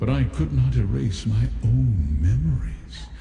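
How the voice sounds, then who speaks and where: A man puts on a character voice with a very deep, low pitch, speaking at a fairly slow pace amid clear background noise and clear echo. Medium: machinima. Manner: solemn, measured.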